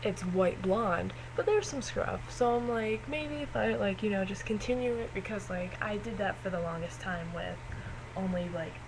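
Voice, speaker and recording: A woman talks at a moderate pace while audible room echo and noticeable background noise fill the recording. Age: 20s. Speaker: vlogger. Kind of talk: casual vlog. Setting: dorm room. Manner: hesitant, many fillers.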